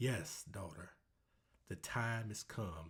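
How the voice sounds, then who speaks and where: A man puts on a character voice with a fairly low pitch. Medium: read story. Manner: calm, knowing.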